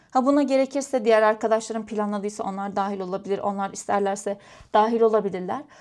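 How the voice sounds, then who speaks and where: With ordinary pitch variation and a fairly high pitch, a woman talks at a very fast pace. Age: 20s. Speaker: vlogger. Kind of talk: casual chat. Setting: at home, crafting while talking to camera.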